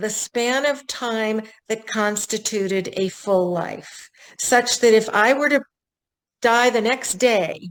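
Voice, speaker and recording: At a very slow pace, a woman speaks in a fairly high pitch with ordinary pitch variation, captured in a very clean recording with a silent background. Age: 70s. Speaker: author. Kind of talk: interview. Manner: reflective.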